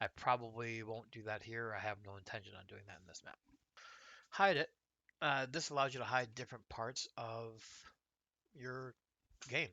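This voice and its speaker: A man with a General American accent speaks in a bright, sharp, relaxed tone, with big swings in loudness, long, frequent pauses, and a dry, close sound with no echo. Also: medium pitch for a man, ordinary pitch variation, moderate pace. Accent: general American, little noticeable. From United States. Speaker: gaming YouTuber. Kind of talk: casual gameplay tutorial. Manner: relaxed, conversational with fillers.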